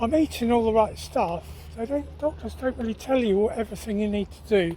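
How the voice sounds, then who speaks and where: A man with an English accent speaks at a fairly quick pace. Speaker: vlogger. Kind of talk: casual chat; cooking vlog narration. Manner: halting.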